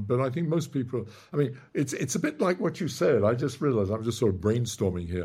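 Somewhat breathy and medium in pitch, a man speaks at a fairly quick pace. His intonation is lively, and the recording is very clean with a silent background. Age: 80s+. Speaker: theoretical physicist, author. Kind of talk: casual chat.

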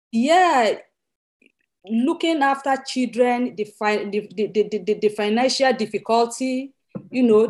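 A woman's fairly high voice with ordinary pitch variation, in a very clean recording against a silent background. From Nigeria. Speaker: widows' charity director. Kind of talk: interview. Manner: halting.

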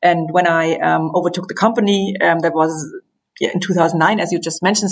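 Fairly quick, fairly even speech with a German accent. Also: woman. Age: 50s. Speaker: company managing director. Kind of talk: interview. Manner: halting.

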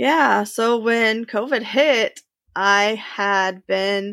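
In a Midwestern US accent, a woman talks at a very slow pace. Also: very clean recording, silent background. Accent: US Midwest. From Indiana, suburb of Indianapolis. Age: 20s. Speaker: human services practitioner, business owner. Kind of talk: interview testimony.

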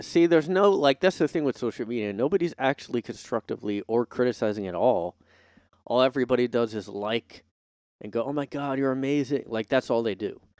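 A man's medium-pitched voice with an American accent, fairly quick and with lively intonation, in a dry, close, very clean recording with no echo and a silent background. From United States. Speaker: solo podcast host. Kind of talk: casual solo monologue. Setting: home recording, streamed live.

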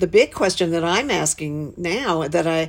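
A woman with an American accent speaks at a fairly slow pace. She has an ordinary speaking voice, fairly low in pitch. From Western North Carolina. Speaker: arts leader. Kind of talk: interview.

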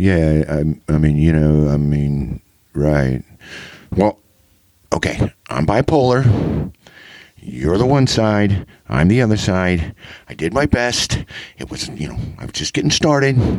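In an American accent, a man talks at a very slow pace with long, frequent pauses. His very deep, low voice makes very wide pitch swings. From eastern Kansas. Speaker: fishing book reviewer. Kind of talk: book review.

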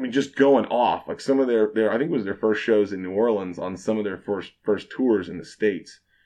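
Over a quiet background, a man with an American accent and an unremarkable speaking voice talks at a fairly quick pace, his fairly low pitch showing ordinary variation. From Kansas, Fort Scott. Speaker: bartender. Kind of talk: casual chat.

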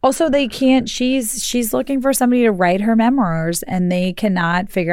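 The speaker is a woman. She has an unremarkable speaking voice. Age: 40s. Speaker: podcast co-host. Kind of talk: casual chat.

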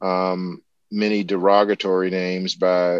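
A man's very deep, low voice in a South Carolina accent, very slow and monotone, with a dry, close sound, no echo and a quiet background. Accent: Southern US (South Carolina). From US South, rural South Carolina. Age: 50s. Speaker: ornithologist and professor. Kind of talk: interview conversation. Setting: remote call.

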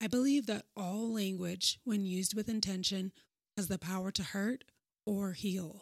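On a very clean recording with a silent background and a dry, close sound with no echo, a woman speaks at a moderate pace with fairly even intonation in an unremarkable speaking voice. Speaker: podcast host. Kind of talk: scripted solo podcast intro, reflective monologue. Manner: earnest, formal, wellness-style.

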